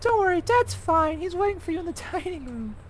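An extremely high, put-on character voice rattles along at a fairly quick pace. Clear background noise runs underneath. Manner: cheery, reassuring.

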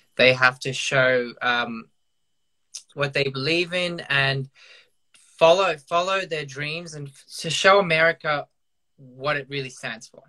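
In an Australian accent, a man with a bright, sharp tone and fairly high pitch speaks at a fairly slow pace with ordinary pitch variation, big swings in loudness and long, frequent pauses against a quiet background. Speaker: professional dancer. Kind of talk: casual video chat interview. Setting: video call. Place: home room. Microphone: video call.

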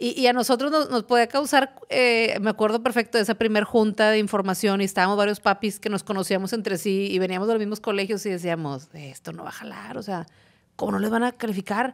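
A woman's very fast speech, with ordinary pitch variation, comes over a quiet background. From Mexico. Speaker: podcast host, parenting educator. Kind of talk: casual chat. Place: studio. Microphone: studio mic.

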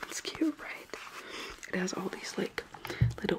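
Soft-spoken and whispering, a woman talks over loud background noise. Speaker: ASMR creator. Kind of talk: soft-spoken ASMR roleplay chat. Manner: soft ASMR whisper, close to the mic. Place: home room. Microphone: earbuds.

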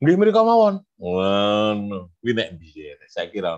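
A man's ordinary speaking voice, fairly low in pitch, at a fairly slow pace. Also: quiet background. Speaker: widyaiswara trainer. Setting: video call. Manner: casual, code-switching Javanese. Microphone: video call.

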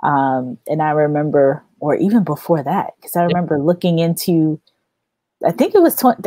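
A woman with a fairly low pitch and a dark, mellow tone speaks in an upbeat tone at a fairly quick pace with ordinary pitch variation. The sound is dry with no echo, over a quiet background. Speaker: recruiter and podcast host. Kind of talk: live-stream interview. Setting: live stream. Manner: upbeat, laughs often. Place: home room.

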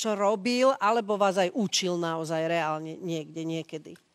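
A woman with an unremarkable speaking voice talks at a fairly slow pace with lively intonation. The sound is dry and close, with no echo. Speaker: TV talk show host. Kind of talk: TV talk show interview. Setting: TV studio with audience.

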